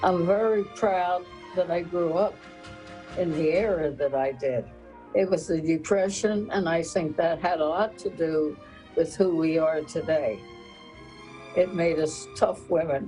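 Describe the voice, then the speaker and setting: With music in the background, a woman speaks at a fairly low pitch and a fairly slow pace, leaving long, frequent pauses. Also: ordinary pitch variation. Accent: American. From South Jersey, Camden. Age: 80s+. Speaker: retired dance teacher. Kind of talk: interview.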